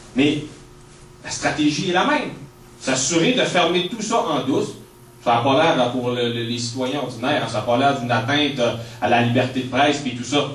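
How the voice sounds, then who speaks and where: Against noticeable background noise and audible room echo, a man with a Quebec accent speaks with long, frequent pauses. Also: medium pitch for a man, ordinary pitch variation, moderate pace. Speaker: author and activist. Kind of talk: public talk. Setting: speech to audience in a hall. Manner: halting, many repetitions.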